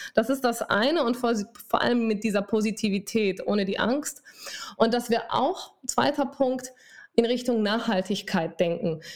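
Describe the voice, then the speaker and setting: Fairly slow, animated delivery from a woman with a Spanish accent, fairly high pitch and ordinary pitch variation. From Spain. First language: Spanish (speaking German). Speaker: dermatologist and telemedicine founder. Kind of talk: interview.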